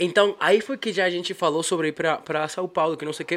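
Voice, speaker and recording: A man speaks in a high voice with a strong Spanish accent. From Bolivia. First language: Spanish (speaking Portuguese). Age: 20s. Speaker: musician. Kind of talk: casual chat.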